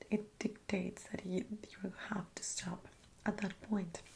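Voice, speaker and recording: Soft-spoken and somewhat breathy, the voice has a dark, mellow tone and a relaxed tone at a fairly slow pace. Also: woman. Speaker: ASMR creator. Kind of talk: ASMR soft-spoken philosophy talk for sleep. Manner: soft-spoken, relaxed, conversational.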